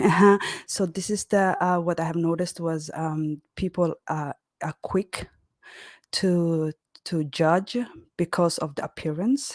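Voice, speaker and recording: With a non-native accent, the speaker goes at a fairly slow pace with ordinary pitch variation and long, frequent pauses, in a dry, close sound with no echo. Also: woman, fairly low pitch for a woman. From Horn of Africa. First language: not English. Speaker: caller. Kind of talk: live chat call-in. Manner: halting.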